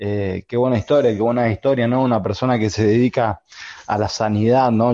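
A man's dark, mellow voice with fairly even intonation, dry and close with no echo, over a quiet background. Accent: Argentine. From Argentina. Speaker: podcast co-host. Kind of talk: casual chat. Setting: video call.

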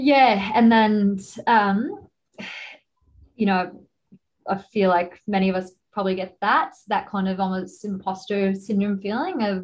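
A woman talks at a fairly slow pace, her medium pitch showing ordinary variation.

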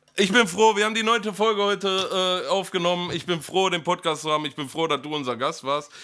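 A man with a high pitch and a bright, sharp tone talks in a raised, projected voice at a very fast pace, barely pausing, with ordinary pitch variation on a very clean recording with a silent background. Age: 30s. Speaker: podcast co-host. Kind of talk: casual chat.

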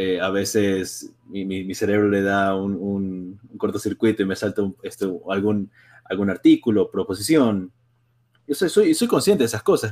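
Fairly low pitch from a man, moderate pace and fairly even intonation. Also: very clean recording, silent background. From Ecuador, Guayaquil. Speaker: university student. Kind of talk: casual chat. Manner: halting, many repetitions and fillers.

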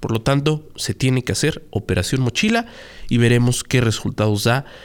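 A man speaks in a medium pitch, keeping a moderate pace. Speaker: radio news anchor. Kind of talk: news show chat.

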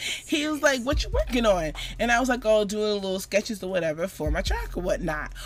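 A woman speaks in an animated tone. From Florida, Jamaican family. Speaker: podcast co-host. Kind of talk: casual chat.

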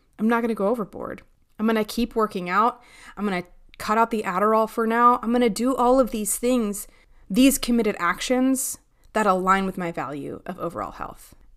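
A woman at a fairly high pitch in an unremarkable speaking voice, with ordinary pitch variation and a fairly quick pace, on a very clean recording with a silent background. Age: 30s. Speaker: podcast host, behavior analyst. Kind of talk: casual solo podcast monologue.

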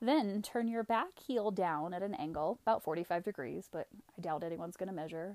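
A woman speaks at medium pitch and a moderate pace in an unremarkable speaking voice. Her pitch varies in an ordinary way, and the sound is dry and close with no echo. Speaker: yoga instructor. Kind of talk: guided yoga class, calling each breath and pose in a steady vinyasa flow. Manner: rhythmic, cueing breath by breath: 'Inhale... Exhale...' in short clipped commands; calm, gentle and soothing, softly inviting rather than ordering.

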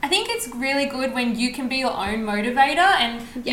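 A high-pitched woman's voice at a fairly quick pace over noticeable background noise. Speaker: podcast host. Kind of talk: casual chat. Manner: excitable.

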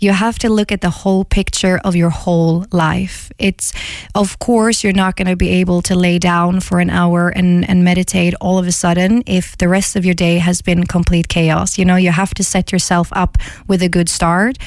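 Speaking in a Swedish accent, a woman holds a medium pitch and a moderate pace. Her loudness stays very even, and her intonation is monotone and flat. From Sweden, Gothenburg.

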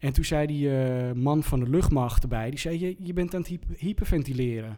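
In an ordinary speaking voice, a man talks at a fairly high pitch. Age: 30s. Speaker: TV presenter and DJ. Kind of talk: casual chat.

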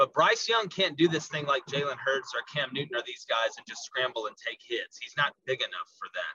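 A man with a slight Southern US accent talks at a fairly quick pace, the sound dry and close with no echo. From US South. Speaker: college football podcaster. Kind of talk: casual sports analysis interview.

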